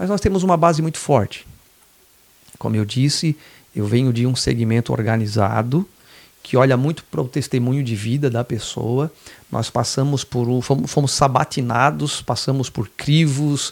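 A man talks at a moderate pace in an ordinary speaking voice. His pitch sits in the medium range with ordinary variation. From southern Santa Catarina, Brazil (Laguna). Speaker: state legislator. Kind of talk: podcast interview.

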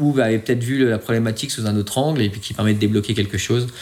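With fairly even intonation and a medium pitch, a man talks in an unremarkable speaking voice. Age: 30s. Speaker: air force fighter pilot. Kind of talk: interview.

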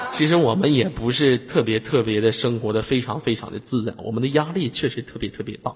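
Noticeable background noise sits behind a man who speaks fairly quickly at a medium pitch with ordinary pitch variation. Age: 20s. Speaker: online voice-chat room host. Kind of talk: casual chat. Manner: animated.

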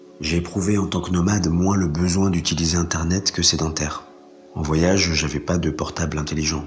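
A man's very deep, low voice, monotone and flat, at a fairly quick pace amid noticeable background noise and audible room echo. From France, raised by French adoptive parents (born in Colombia). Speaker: interviewee, former cowherd. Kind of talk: personal testimony. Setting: remote recording.

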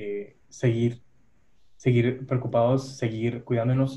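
A man's somewhat breathy voice sits at medium pitch with monotone, flat intonation. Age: 30s. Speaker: human resources worker. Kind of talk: casual chat.

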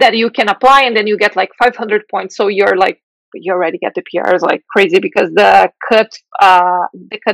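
A woman's fairly high voice with a Portuguese accent and lively intonation, in a dry, close sound with no echo. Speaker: software engineering manager. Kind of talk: interview.

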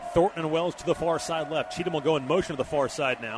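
This man's voice sits high in pitch, with noticeable noise in the background. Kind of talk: live play-by-play commentary. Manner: fluent, fast, clipped play-by-play delivery.

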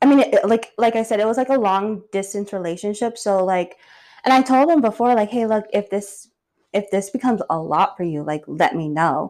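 The recording is very clean, with a silent background. A woman with a normal speaking voice talks at medium pitch with ordinary pitch variation. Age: 30s. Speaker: podcast co-host. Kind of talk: casual chat.

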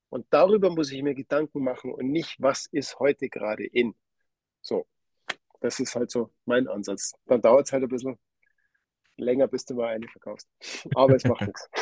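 A man with a dark, mellow tone and medium pitch talks at a moderate pace with long, frequent pauses and ordinary pitch variation, in a dry, close sound with no echo. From Lower Bavaria, Germany. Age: 40s. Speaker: watch company owner. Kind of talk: interview.

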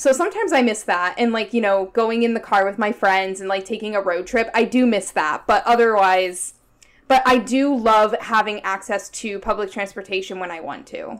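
With a plain, everyday voice and an American accent, a woman speaks at a moderate pace and a fairly high pitch, with ordinary pitch variation. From United States. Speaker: podcast co-host. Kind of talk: casual chat.

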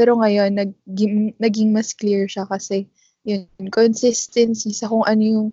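A woman speaks at medium pitch with a somewhat breathy voice. Her intonation is fairly even. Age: 20s. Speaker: podcast co-host and physical therapist. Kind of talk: casual chat.

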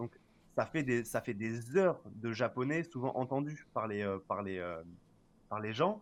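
A man talks at a very slow pace and medium pitch with lively intonation, leaving long, frequent pauses. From Marseille, France. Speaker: voice dubber and Japanese teacher. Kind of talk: casual chat. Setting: live stream.

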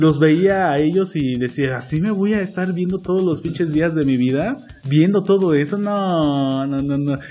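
Fairly high-pitched male voice with a dark, mellow tone, ordinary pitch variation and a fairly slow pace. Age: 20s. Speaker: podcast co-host and acting student. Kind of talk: casual chat.

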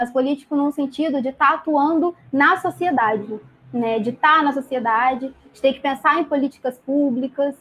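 Moderate pace and ordinary pitch variation. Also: woman. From Brazil, Volta Redonda (Rio de Janeiro state). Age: 20s. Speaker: podcast guest, feminist speaker. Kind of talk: casual discussion. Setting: livestream.

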